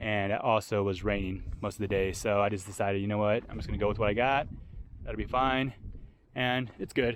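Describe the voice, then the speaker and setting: The man speaks with a fairly low pitch and fairly even intonation. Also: fairly quick pace. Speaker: overlanding vlogger. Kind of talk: casual vlog walkaround. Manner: rambling, filler-heavy.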